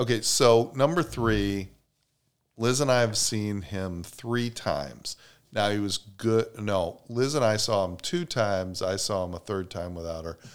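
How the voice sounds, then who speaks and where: With lively intonation, a man talks at a fairly low pitch. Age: 50s. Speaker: podcast co-host. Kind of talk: casual chat. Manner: slow talker.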